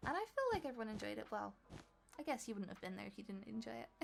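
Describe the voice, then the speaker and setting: Music plays in the background as a woman speaks. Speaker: gaming youtuber. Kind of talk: voiceover tutorial.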